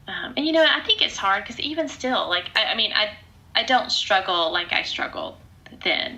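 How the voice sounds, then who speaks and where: A woman talks at a moderate pace with a fairly high voice and very wide pitch swings. Noticeable background noise runs beneath her. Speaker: podcast host and speaker. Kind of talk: casual chat. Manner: loud.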